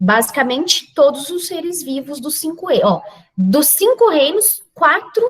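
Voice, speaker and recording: A woman's high-pitched voice, very slow, with very wide pitch swings. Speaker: biology teacher. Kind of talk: lecture.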